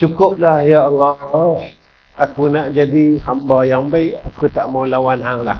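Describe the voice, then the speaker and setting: This man speaks at a very slow pace in a fairly high pitch. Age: 60s. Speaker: Islamic preacher. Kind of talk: religious lecture. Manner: animated.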